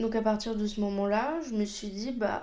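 With audible room echo, a woman speaks at a fairly slow pace in a fairly high voice with fairly even intonation. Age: 20s. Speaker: podcast host and job integration counselor. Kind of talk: personal monologue.

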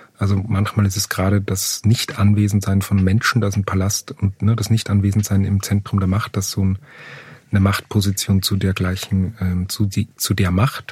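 A man speaks at a moderate pace in a fairly low pitch, somewhat breathy. His intonation is monotone and flat, and his loudness stays very even. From Upper Austria. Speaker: playwright and theatre director. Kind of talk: interview conversation. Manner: halting, many fillers.

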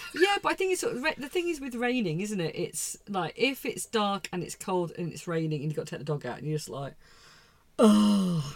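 Somewhat breathy, a woman at medium pitch talks at a fairly quick pace with very wide pitch swings. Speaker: podcast host. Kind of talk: casual chat.

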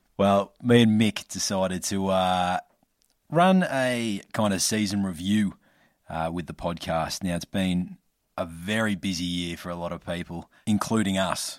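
At a fairly slow pace, the speaker keeps a fairly even intonation over a very clean recording with a silent background. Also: man, very deep, low pitch for a man. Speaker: podcast host. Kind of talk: casual chat.

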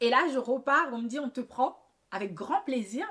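A woman talks at a moderate pace in fairly high pitch. She has an ordinary speaking voice. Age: 30s. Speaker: hairdresser and podcast host. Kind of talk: personal monologue. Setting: at home.

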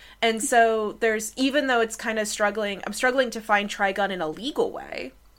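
A woman with an American accent has an unremarkable speaking voice at a fairly high pitch. She keeps a moderate pace and ordinary pitch variation. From United States. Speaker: academic and podcast co-host. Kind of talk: casual chat.

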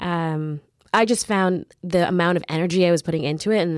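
A woman with a Canadian accent uses a normal speaking voice at a fairly quick pace, with a fairly low pitch and fairly even intonation. The recording is very clean with a silent background and a dry, close sound with no echo. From Canada, Mississauga suburbs. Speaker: lawyer and writer. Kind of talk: interview.

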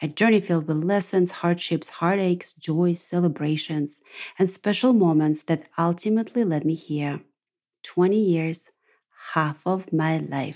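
Fairly slow and in a dark, mellow tone, a woman with a Russian accent speaks at a fairly low pitch in a very clean recording with a silent background. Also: ordinary pitch variation. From Russia, Ural region. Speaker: podcast host. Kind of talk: monologue podcast.

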